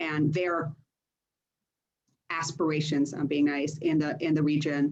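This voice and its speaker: This woman has an American accent and a very deep, low pitch. She speaks fairly slowly in a monotone, flat delivery. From United States and Greece. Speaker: politician. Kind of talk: panel discussion.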